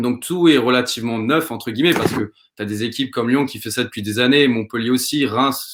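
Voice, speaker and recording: A man of medium pitch speaks in an ordinary speaking voice, keeping a moderate pace and ordinary pitch variation. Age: 20s. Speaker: football coach and shirt collector. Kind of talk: casual interview.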